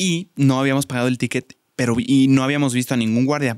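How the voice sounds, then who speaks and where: At a fairly quick pace, a man talks in a medium pitch with fairly even intonation, the sound dry with no echo and the background quiet. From Mexico. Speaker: podcast host. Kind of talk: casual chat. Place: studio. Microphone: studio mic.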